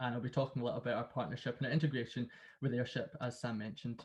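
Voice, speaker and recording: Against a quiet background, a man with a Glasgow accent sounds somewhat breathy. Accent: Glasgow, Scottish. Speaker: sales consultant. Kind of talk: webinar presentation. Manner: repetitive fillers.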